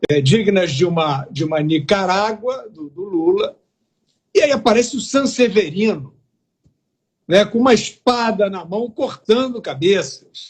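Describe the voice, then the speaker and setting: Here a man speaks high-pitched and fairly slowly, with lively intonation. His loudness swings widely. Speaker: political commentator. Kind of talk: heated debate. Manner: animated.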